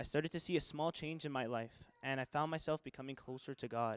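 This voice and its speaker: A plain, everyday voice from a man at medium pitch, fairly quick in pace, with fairly even intonation and a dry, close sound with no echo. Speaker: church member giving baptism testimony. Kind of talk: testimony. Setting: church.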